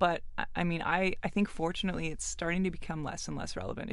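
A woman with vocal fry talks at a fairly low pitch. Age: 40s. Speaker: restaurateur and author. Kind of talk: casual chat. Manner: animated.

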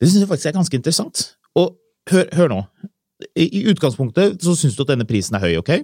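A man's dark, mellow voice with vocal fry and very wide pitch swings, in a dry, close sound with no echo. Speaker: car podcast host. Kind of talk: casual chat.

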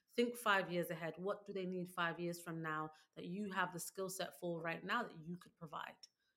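With a London accent, a woman speaks at a fairly low pitch and fairly even intonation. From London, England. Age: 30s. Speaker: author and former teacher. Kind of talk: casual interview.

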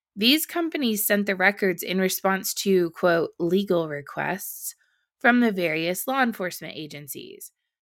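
In a very clean recording with a silent background, a woman with a plain, everyday voice speaks at a moderate pace and medium pitch, her intonation lively. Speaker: podcast host. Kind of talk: news commentary reading headlines aloud with snarky asides. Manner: brisk, clear newsreader delivery, sarcastic and pointed on asides; formal, even tone when reading quoted statements.

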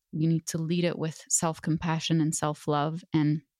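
Very deep and low in pitch, a woman speaks at a fairly slow pace in a dark, mellow tone. Her intonation is monotone and flat, in a dry, close sound with no echo. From Lebanon. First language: Arabic. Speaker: author. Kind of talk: interview conversation.

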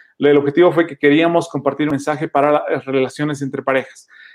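A man speaks very fast in a fairly high voice. His intonation stays monotone and flat. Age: 20s. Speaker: podcaster. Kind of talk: interview.

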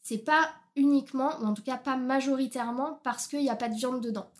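A woman speaks at a high pitch and a fairly quick pace. Her intonation stays fairly even in a very clean recording with a silent background. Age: 20s. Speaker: nutrition consultant. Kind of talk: podcast interview.

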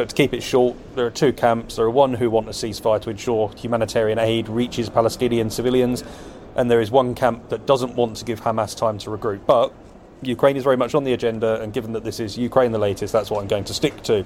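A man talks very fast at medium pitch. His intonation is monotone and flat. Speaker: foreign correspondent. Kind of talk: news report.

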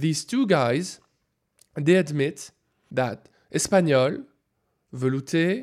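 On a very clean recording with a silent background, a man with a French accent talks at a fairly high pitch with lively intonation. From France. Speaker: food scientist. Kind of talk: interview.

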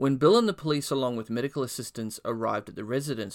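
With ordinary pitch variation, a man talks on a very clean recording with a silent background. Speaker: true crime podcast host. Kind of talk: true-crime narration. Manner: measured, grave storyteller pacing.

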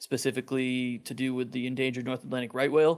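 Very fast speech in a Maine accent. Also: man. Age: 30s. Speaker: lobster fisherman. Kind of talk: interview.

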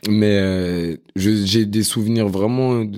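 On a very clean recording with a silent background, a man speaks with fairly even intonation in a fairly low pitch and a dark, mellow tone. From Paris, France. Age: 20s. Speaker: chef. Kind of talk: casual interview chat.

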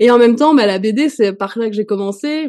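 A dark, mellow tone at a fairly quick pace. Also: woman. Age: 40s. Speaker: comic book author and illustrator. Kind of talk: casual interview. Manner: hesitant, many fillers.

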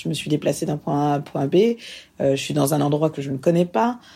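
At a moderate pace, a woman speaks very deep and low, her tone dark and mellow with ordinary pitch variation, on a very clean recording with a silent background. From France. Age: 30s. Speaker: interviewee. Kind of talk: personal testimony.

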